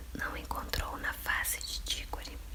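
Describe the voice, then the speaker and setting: Whispering and soft-spoken, the voice moves at a fairly slow pace amid noticeable background noise. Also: woman. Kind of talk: whispered audiobook reading by candlelight. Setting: home, dim candlelight. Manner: whispered, soft.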